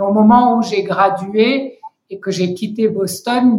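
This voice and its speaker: A woman at a medium pitch, very slow pace and fairly even intonation. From Senegal and Côte d'Ivoire, with US mother. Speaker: founder and director of an advocacy organisation. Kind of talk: interview. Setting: remote recording. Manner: hesitant, many fillers.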